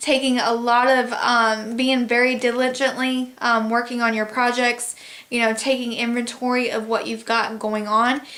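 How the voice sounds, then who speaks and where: A woman's high, bright, sharp voice in a monotone, flat intonation at a moderate pace, with audible room echo. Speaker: tarot reader. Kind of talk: tarot reading.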